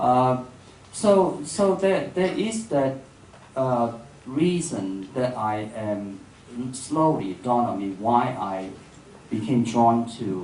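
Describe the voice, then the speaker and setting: In a Cantonese accent, the speaker goes at a very slow pace with long, frequent pauses and lively intonation, amid noticeable background noise and audible room echo. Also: man, medium pitch for a man. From Hong Kong. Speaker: filmmaker and writer. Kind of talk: public dialogue. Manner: halting.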